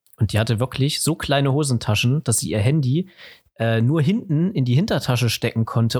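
A man speaks at a moderate pace and medium pitch with ordinary pitch variation. His somewhat breathy voice sounds dry and close, with no echo. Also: very clean recording, silent background. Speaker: podcast host. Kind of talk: casual chat.

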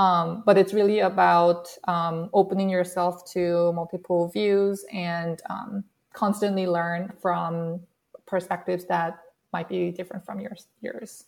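A woman with a Korean accent, fairly low in pitch, fairly slow and fairly even, with long, frequent pauses. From South Korea. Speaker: workplace researcher. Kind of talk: panel interview.

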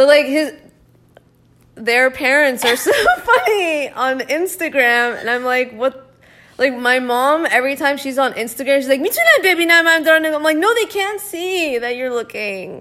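A woman with a high pitch raises and projects her voice, moving at a moderate pace with lively intonation. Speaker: podcast co-host. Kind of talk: casual chat. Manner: loud when opinionated.

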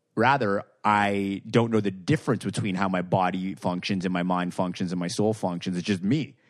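A man's fairly low, normal speaking voice at a moderate pace, hardly any pauses, on a very clean recording with a silent background. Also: ordinary pitch variation. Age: 30s. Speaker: author and anxiety speaker. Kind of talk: casual chat. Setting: in person, host's apartment.

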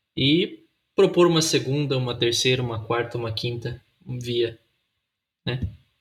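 A man speaks at a fairly slow pace in a somewhat breathy voice, with long, frequent pauses. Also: medium pitch for a man, ordinary pitch variation. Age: 20s. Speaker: pastor and podcast co-host. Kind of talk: casual chat.

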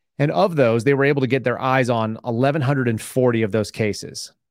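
Ordinary pitch variation runs through this man's normal speaking voice, set at a medium pitch. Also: very clean recording, silent background. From Texas. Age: 40s. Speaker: former FBI agent and whistleblower. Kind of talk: casual interview.

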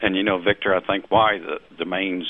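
With a slight Southern US accent, a man speaks at a fairly quick pace in a very deep, low voice. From US South. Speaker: domain investor. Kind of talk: interview. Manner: halting.

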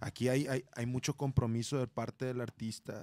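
A man's unremarkable speaking voice, medium in pitch, at a moderate pace, with a dry, close sound and no echo. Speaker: rock musician. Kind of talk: casual chat.

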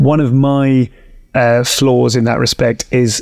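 The pace of the speech is fairly slow. It is delivered in a British accent. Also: man. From UK. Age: 40s. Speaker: stand-up comedian and podcast host. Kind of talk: casual interview chat.

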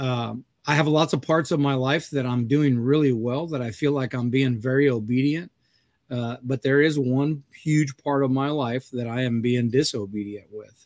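He speaks in a normal speaking voice, pitched at a medium level for a man. His pace is moderate and his intonation fairly even. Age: 50s. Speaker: podcast host and coffee business owner. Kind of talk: casual chat.

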